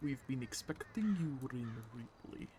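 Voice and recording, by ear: A put-on character voice at a low-to-middle pitch comes through over clear background noise.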